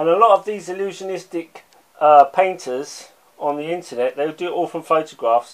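Over a quiet background, the voice moves at a moderate pace with ordinary pitch variation. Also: man, high pitch for a man. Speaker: art commentator. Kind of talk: angry rant; video essay lecture. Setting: online video. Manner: emphatic, insistent, scornful; repeats words, halting. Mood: critical, passionate. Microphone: phone near.

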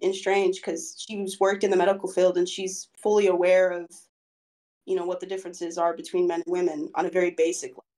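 A woman's voice with ordinary pitch variation on a very clean recording with a silent background. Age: 20s. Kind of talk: casual interview. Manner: halting, many fillers.

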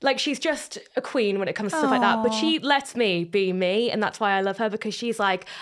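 In a Geordie accent, a woman talks at a fairly high pitch and a fairly quick pace. Her tone is upbeat and bubbly. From North East England. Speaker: radio presenter. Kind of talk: casual podcast conversation. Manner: upbeat, bubbly. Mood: warm, affectionate, laughing. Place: studio. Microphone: studio mic.

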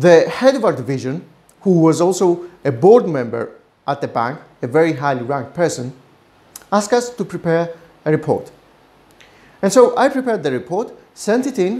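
Very wide pitch swings run through the speech, which has long, frequent pauses. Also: man, moderate pace. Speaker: business consultant host. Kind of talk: personal anecdote commentary. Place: office. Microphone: lapel.

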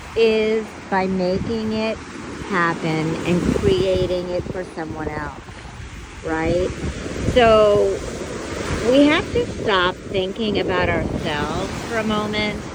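Amid noticeable background noise, a woman at medium pitch speaks at a very slow pace with ordinary pitch variation and long, frequent pauses. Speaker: singer and YouTuber. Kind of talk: inspirational video podcast, casual talk to camera. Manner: encouraging, gentle.

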